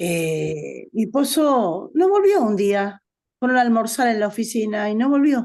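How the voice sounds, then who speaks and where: A woman at a very slow pace, with very wide pitch swings. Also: quiet background. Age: 70s. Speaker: participant in study group. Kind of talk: testimony.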